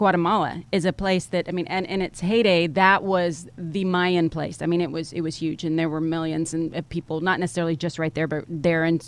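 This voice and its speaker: The delivery is fairly quick, with hardly any pauses. Intonation stays fairly even. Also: woman. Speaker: podcast host. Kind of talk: interview. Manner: halting.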